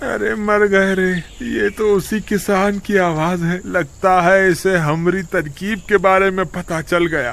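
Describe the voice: Using a put-on character voice, a man speaks at a high pitch and a slow pace with few pauses and vocal fry. His tone is fairly bright and his intonation fairly even.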